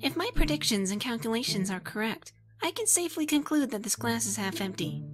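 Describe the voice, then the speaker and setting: A female-sounding voice at medium pitch talks at a fairly quick pace in a put-on character voice. Faint music plays in the background. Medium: dub.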